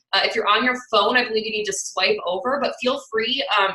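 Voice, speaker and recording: The speaker moves at a fairly quick pace with ordinary pitch variation over noticeable background noise. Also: woman. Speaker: fitness coach. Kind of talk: webinar presentation. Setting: video call. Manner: fast; animated.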